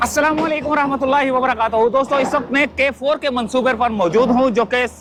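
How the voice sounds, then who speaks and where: Over noticeable background noise, a man shouts loudly at an extremely high pitch, his intonation fairly even. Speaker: YouTube reporter. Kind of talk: on-site field report. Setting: outdoors at construction site. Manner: loud, shouting over noise.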